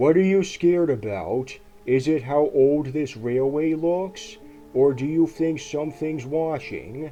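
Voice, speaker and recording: A man's put-on character voice, fairly high in pitch and fairly slow, over clear background music. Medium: read story.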